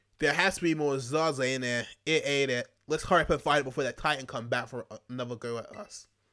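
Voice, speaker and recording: Very fast delivery with hardly any pauses, ordinary pitch variation, big swings in loudness and a bright, sharp tone, on a very clean recording with a silent background. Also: man, fairly high pitch for a man. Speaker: gaming YouTuber. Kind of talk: let's play commentary.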